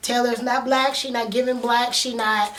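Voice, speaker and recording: A woman speaks in a high, animated voice. The room echoes audibly, and background noise is noticeable. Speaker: TV show reviewer / YouTuber. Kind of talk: casual commentary vlog. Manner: fast.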